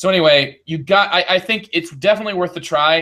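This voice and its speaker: Here a man talks with a Midwestern accent. His pitch varies in an ordinary way. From US Midwest. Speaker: board game podcast host. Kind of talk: game review.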